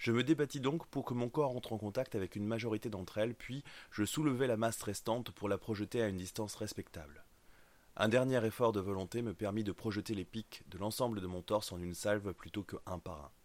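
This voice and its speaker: An ordinary speaking voice from a man, fairly low in pitch with ordinary pitch variation. He talks at a fairly quick pace on a very clean recording with a silent background. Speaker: audiobook narrator. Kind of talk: dramatic first-person fiction narration with character voices. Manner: tense, urgent, suspenseful, building to action.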